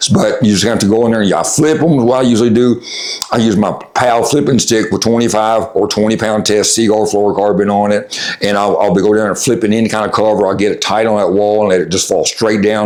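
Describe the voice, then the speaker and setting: Speaking at a very fast pace with a Tennessee accent, a man with a fairly low pitch keeps a fairly even intonation and very even loudness, while room echo and noticeable background noise can be heard. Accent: Southern US (Tennessee). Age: 60s. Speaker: fishing guide. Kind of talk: tutorial. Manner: casual, hesitant with many fillers.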